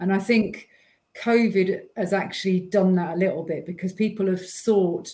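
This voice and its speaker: A woman with a British accent, somewhat breathy, dark and mellow in tone, medium in pitch, fairly quick and fairly even in intonation. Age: 40s. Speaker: holistic therapy researcher. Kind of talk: casual livestream chat. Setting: video call.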